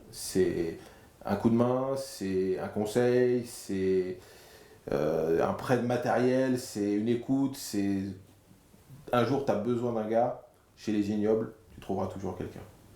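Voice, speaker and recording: With audible room echo, a man speaks very slowly at medium pitch, with ordinary pitch variation and long, frequent pauses. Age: 40s. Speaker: amateur rugby player, club president. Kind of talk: interview. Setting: locker room. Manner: hesitant, with fillers.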